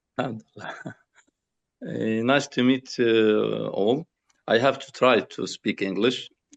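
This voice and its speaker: Recorded with a dry, close sound and no echo, a man with a Palestinian accent speaks at a fairly slow pace in a medium pitch, with ordinary pitch variation and big swings in loudness. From Gaza, Palestine. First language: Arabic. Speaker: building technique founder. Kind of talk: presentation. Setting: video call. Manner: halting.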